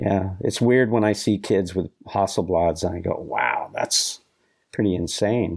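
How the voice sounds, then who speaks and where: On a very clean recording with a silent background, a man speaks in a normal speaking voice, fairly low in pitch, at a fairly slow pace, with ordinary pitch variation and very even loudness. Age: 60s. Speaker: action sports photographer. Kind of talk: interview.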